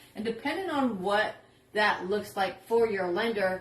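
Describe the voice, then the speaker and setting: Noticeable background noise is audible throughout. Over it, a woman speaks at a moderate pace. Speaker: real estate agent. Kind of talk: casual explainer video.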